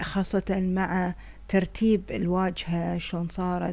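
A woman speaks at a very slow pace. She has a Kuwaiti accent. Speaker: vlogger. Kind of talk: casual vlog narration. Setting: in a car. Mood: relaxed, cheerful. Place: car. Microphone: phone near.

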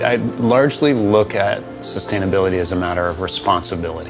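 A man at a fairly quick pace over clear background music. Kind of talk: interview answer. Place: office.

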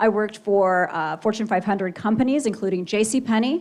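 In an unremarkable speaking voice with an American accent, the speaker talks at a fairly quick pace with lively intonation. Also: woman. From Oregon, Klamath Falls. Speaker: political candidate. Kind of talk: campaign speech at candidate forum. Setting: stage with audience, auditorium.

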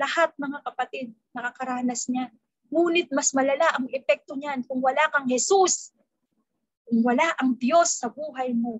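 A woman speaks at a moderate pace with a high pitch and ordinary pitch variation. The sound is dry with no echo over a quiet background. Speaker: preacher. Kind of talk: sermon. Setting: video call. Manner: formal; earnest. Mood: earnest, personal testimony. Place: home room. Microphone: webcam.

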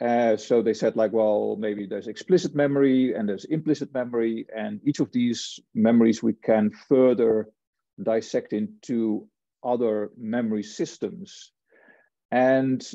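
A man at a fairly slow pace, ordinary pitch variation, dry sound with no echo, and a quiet background. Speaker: lecturer. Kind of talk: lecture. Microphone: webcam.

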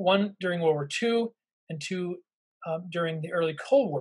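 Against a quiet background, a man speaks in a high pitch with ordinary pitch variation. His pace is fairly quick. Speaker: intelligence historian and professor; professor. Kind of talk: lecture. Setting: video call. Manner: halting, frequent fillers.

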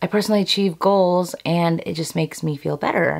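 Over a quiet background, a woman with a fairly low pitch talks at a fairly quick pace with fairly even intonation. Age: 30s. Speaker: beauty and lifestyle youtuber. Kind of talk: casual chat to camera. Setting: filmed at home vanity. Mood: warm, encouraging. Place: home room.

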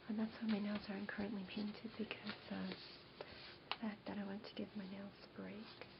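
A woman with an American accent, flat monotone intonation and a fairly quick pace, over loud background noise. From New York. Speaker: ASMR creator. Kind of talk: ASMR show-and-tell, casual talk to camera. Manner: whispered, soft-spoken, quiet.

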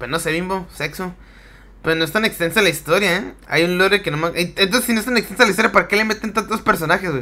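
Speaking at a very fast pace in a Mexican accent, a man has a high, bright, sharp voice with an animated tone and ordinary pitch variation. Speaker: gaming streamer. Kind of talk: live gameplay commentary.

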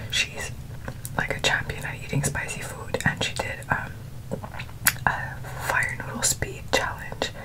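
Whispered speech from a woman, moving at a moderate pace. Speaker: food vlogger. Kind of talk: casual vlog chat. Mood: cheerful, relaxed. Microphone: earbuds.

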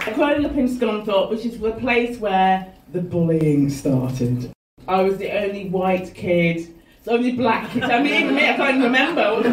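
Over noticeable background noise, a woman talks at a moderate pace in a fairly high pitch, with very wide pitch swings. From English Midlands and Lincolnshire; English Midlands. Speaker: comedian. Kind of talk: stand-up. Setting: stage with audience. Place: stage.

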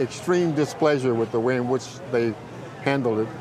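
Over noticeable background noise, a man with an American accent talks at a moderate pace and medium pitch, with ordinary pitch variation. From US South, rural North Carolina. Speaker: youth mentor and parole program coordinator. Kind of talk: interview.

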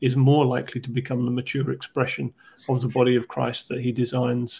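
At a moderate pace, a man is speaking. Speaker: podcast host. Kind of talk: explanatory discussion. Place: home room. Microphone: earbuds.

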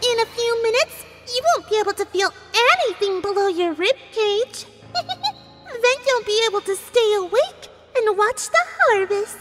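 Clear music plays behind a female-sounding put-on character voice at an extremely high pitch. The pace is moderate.

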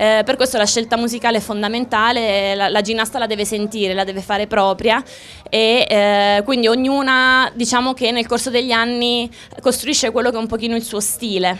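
A woman's fairly high voice moves at a fairly quick pace with monotone, flat intonation. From Abruzzo, Italy (Chieti); Abruzzo, Italy. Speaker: former rhythmic gymnast; TV host. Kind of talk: live TV interview. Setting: outdoors. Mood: cheerful, friendly. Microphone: handheld.

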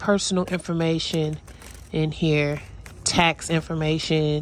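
Over light background noise, a woman with a fairly low pitch speaks at a very slow pace, the sound dry with no echo. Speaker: dumpster diving vlogger. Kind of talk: casual vlog chat. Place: street. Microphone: phone near.

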